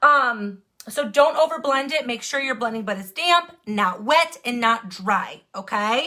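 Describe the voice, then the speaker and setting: Projecting a raised voice with a bright, sharp tone, a woman speaks with lively intonation and an American accent. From Wisconsin. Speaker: makeup tutorial livestreamer. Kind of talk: live makeup tutorial. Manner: fast.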